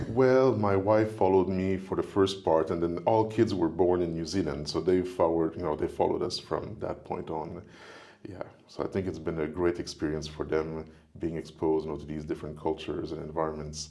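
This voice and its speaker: A very deep, low-pitched man with a French accent, fairly quick in pace, with ordinary pitch variation. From Quebec, Montreal. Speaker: professor. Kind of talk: casual chat.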